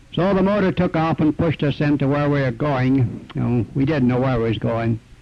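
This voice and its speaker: Speaking at a moderate pace with ordinary pitch variation, this is a normal speaking voice. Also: man. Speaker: retired miner. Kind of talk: oral history interview.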